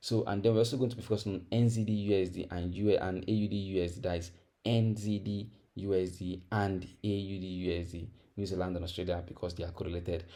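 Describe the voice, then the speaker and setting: A man with a West African accent at a very fast pace, very deep and low in pitch, dark and mellow in tone, with fairly even intonation and audible room echo. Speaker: forex trading teacher. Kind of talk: tutorial. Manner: conversational, repetitive with fillers.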